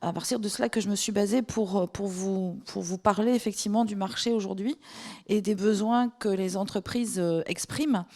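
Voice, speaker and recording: This woman has a medium pitch, a dark, mellow tone and fairly even intonation, and she speaks at a moderate pace. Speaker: recruitment agency manager. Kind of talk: conference talk. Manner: halting.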